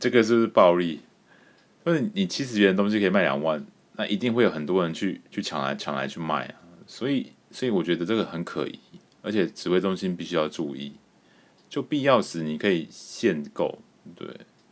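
Taking long, frequent pauses, the speaker talks at a fairly quick pace with lively intonation in a Taiwanese accent. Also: man, very deep, low pitch for a man. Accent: Taiwanese Mandarin. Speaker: podcast host. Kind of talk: casual solo commentary.

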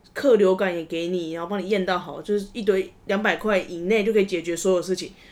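A woman talks at a fairly quick pace with fairly even intonation. It is an ordinary speaking voice. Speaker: podcast host. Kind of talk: casual chat.

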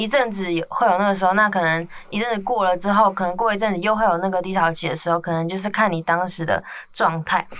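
Someone speaks at a very fast pace with fairly even intonation. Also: woman, medium pitch for a woman. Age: 20s. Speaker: podcast host. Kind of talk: casual chat.

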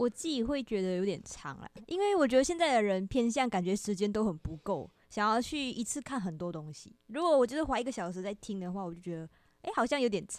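At a very fast pace, a woman with a fairly high pitch talks with very wide pitch swings and big swings in loudness. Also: very clean recording, silent background. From Malaysia. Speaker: university student. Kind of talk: casual chat.

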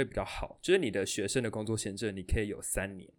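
The recording is very clean, with a silent background. A man with a plain, everyday voice speaks with ordinary pitch variation. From Taiwan. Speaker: podcast host, student. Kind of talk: casual chat.

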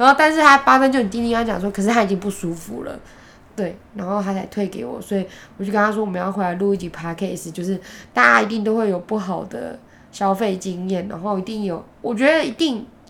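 Very fast and lively in intonation, a woman speaks at a medium pitch with a bright, sharp tone. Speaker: podcast co-host. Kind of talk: casual chat.

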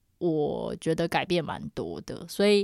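A woman with a normal speaking voice talks at a fairly low pitch with lively intonation on a very clean recording with a silent background. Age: 30s. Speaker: podcast co-host. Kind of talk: casual chat. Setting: room with acoustic foam. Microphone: new upgraded equipment, own microphone.

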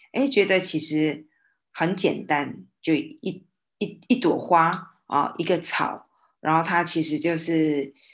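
The speech moves at a very slow pace with ordinary pitch variation over a quiet background. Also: woman, fairly low pitch for a woman. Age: 50s. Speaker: former hospital nurse. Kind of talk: casual discussion.

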